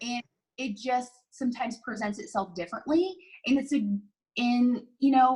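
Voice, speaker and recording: The voice is loud, moving at a moderate pace with ordinary pitch variation. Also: woman, high pitch for a woman. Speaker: workshop participant. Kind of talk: testimonial interview.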